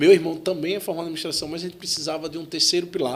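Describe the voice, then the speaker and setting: A man talks with a Sergipe accent. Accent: Sergipe northeastern Brazilian. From Sergipe, northeastern Brazil. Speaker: tech entrepreneur, CEO. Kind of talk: podcast interview.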